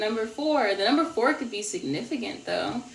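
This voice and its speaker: A woman's voice makes very wide pitch swings amid audible room echo and noticeable background noise. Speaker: tarot card reader. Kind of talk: tarot reading.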